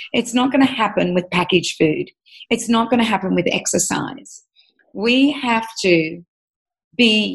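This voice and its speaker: A somewhat breathy woman with an Australian accent speaks at a moderate pace with lively intonation. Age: 50s. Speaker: nutritionist and author. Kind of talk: interview.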